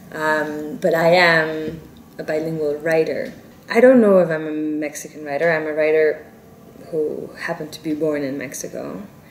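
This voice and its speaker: With a Spanish accent, a woman speaks at a moderate pace and a very deep, low pitch, with ordinary pitch variation, big swings in loudness, audible room echo and noticeable background noise. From South Korea, South Africa, India. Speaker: novelist. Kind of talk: interview. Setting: Paris interview. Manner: halting, self-correcting.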